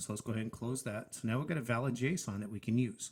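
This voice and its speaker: A somewhat breathy man at a fairly quick pace. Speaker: software tutorial creator. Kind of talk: screen-share tutorial. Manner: fast.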